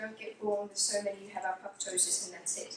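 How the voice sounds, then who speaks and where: A woman is speaking. Some room echo can be heard. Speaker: clinical hypnotherapist giving a presentation. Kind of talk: lecture. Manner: fast.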